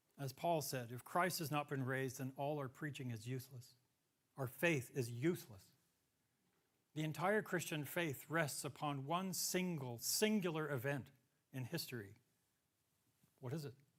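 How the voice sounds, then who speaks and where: With an American accent and an animated tone, a man speaks at a fairly high pitch and a moderate pace, using ordinary pitch variation and long, frequent pauses. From US Southwest, New Mexico. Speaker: lecturer, applied mathematician. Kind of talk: public lecture. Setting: talk with live audience. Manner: animated, conversational.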